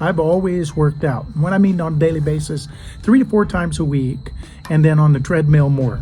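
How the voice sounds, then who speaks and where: Against noticeable background noise and audible room echo, the voice moves at a fairly quick pace with ordinary pitch variation. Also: man, fairly high pitch for a man. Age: 60s. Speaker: junk removal business owner. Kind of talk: casual vlog monologue. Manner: conversational, with fillers.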